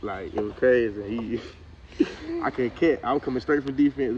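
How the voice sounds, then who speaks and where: A man with a Southern US accent talks at a very fast pace. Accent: Southern country speech. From US South, central Georgia. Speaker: college football player. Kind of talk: casual interview. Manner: casual, halting with many repetitions.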